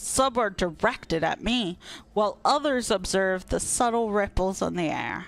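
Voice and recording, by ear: This is reading aloud in a natural voice. The delivery is plain read-aloud speech.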